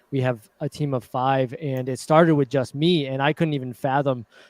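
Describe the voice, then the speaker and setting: In a dry, close sound with no echo, a man speaks at a moderate pace and a fairly high pitch with fairly even intonation. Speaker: dealership content creator. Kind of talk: live stream panel discussion.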